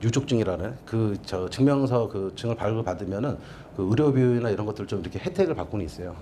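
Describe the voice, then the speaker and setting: There is audible room echo as a man speaks at a fairly quick pace and a medium pitch. His tone is dark and mellow, and his intonation is lively. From Seoul. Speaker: documentary filmmaker. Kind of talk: lecture.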